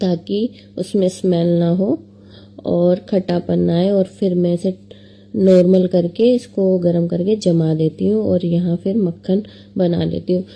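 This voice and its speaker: With a dark, mellow tone and very even loudness, a woman speaks at a fairly low pitch. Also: fairly even intonation. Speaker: family vlogger. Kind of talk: home cooking vlog narration. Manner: casual, chatty.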